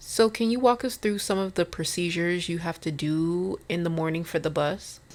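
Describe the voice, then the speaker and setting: A woman with a fairly low pitch talks at a moderate pace. She has an unremarkable speaking voice with ordinary pitch variation. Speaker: podcast host. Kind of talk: podcast host interviewing a guest.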